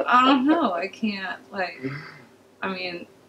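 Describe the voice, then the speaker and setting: Over light background noise, a woman with an American accent speaks at a moderate pace. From Los Angeles. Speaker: podcast guest. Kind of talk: casual chat. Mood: relaxed, joking. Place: studio.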